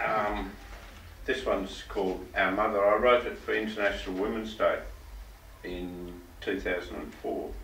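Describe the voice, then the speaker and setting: A man speaks with an Australian accent at a moderate pace. Long, frequent pauses break up his speech. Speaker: bush poet. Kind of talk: casual storytelling to live audience.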